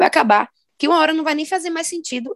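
The woman talks at a very fast pace. Her voice sounds dry and close, free of any echo. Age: 20s. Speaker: podcast co-host. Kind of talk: casual chat.

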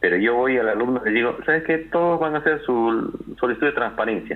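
Here is a man with a plain, everyday voice. He speaks at a fairly quick pace with lively intonation. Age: 40s. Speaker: university lecturer and lawyer. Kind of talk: interview.

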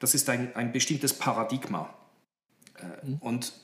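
Somewhat breathy, the speech unfolds at a moderate pace. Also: man. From Horn of Africa (Djibouti), Swiss missionary family. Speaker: pastor and theology lecturer. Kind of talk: interview. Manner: hesitant with fillers.

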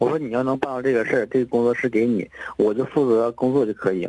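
Through noticeable background noise, a man speaks very fast at a medium pitch with ordinary pitch variation. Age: 30s. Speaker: caller, design studio owner. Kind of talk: phone-in advice call. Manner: halting.

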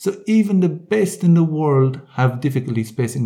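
A man's somewhat breathy voice has a dark, mellow tone and a moderate pace. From Ireland and the Netherlands. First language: English (speaking German). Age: 30s. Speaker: triathlete and coach. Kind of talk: interview. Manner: halting.

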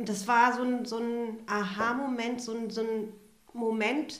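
Audible room echo follows a woman's voice. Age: 40s. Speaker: refugee support worker. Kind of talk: interview.

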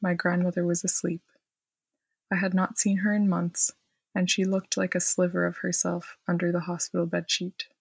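Recorded very cleanly against a silent background, a woman speaks at medium pitch, somewhat breathy and in a monotone, flat way. The sound is dry and close with no echo, and her pace is moderate. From Quebec, Montreal. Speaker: historian and storyteller. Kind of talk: reading aloud of personal story.

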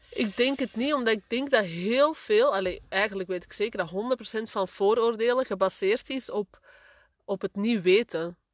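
A woman talks at a fairly slow pace with ordinary pitch variation in a plain, everyday voice. The background is quiet, and the sound is dry and close with no echo. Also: fairly high pitch for a woman. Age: 30s. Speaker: podcast co-host, mother. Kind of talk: casual chat.

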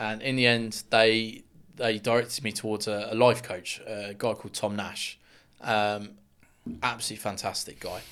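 With a southern English accent, a man talks at a moderate pace in a medium pitch, his intonation monotone and flat while his loudness swings widely, all on a very clean recording with a silent background. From Luton, England. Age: 20s. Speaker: builder and men's mental health advocate. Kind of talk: interview testimony.

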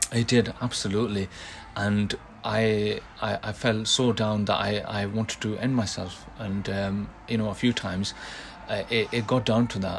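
Noticeable background noise runs under the speech. The delivery is monotone, with flat intonation. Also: man, fairly low pitch for a man, moderate pace. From grew up in England after moving from another country as a child. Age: 20s. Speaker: podcast guest sharing a health story. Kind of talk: personal testimony. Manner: halting, many repetitions and fillers.

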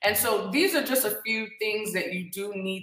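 With audible room echo around her, a woman speaks at a fairly slow pace and uses ordinary pitch variation. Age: 30s. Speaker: podcast host and tea business owner. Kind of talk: talk show monologue.

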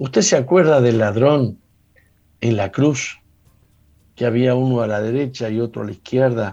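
This man's voice has a dark, mellow tone at medium pitch, with ordinary pitch variation and a moderate pace. He leaves long, frequent pauses against a quiet background. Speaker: pastor and radio host. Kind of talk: radio sermon.

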